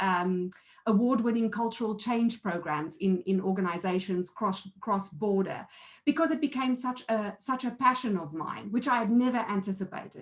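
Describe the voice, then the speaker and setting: A woman's fairly high, somewhat breathy voice moves with ordinary pitch variation. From South Africa. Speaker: board director and entrepreneur. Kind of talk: conference presentation.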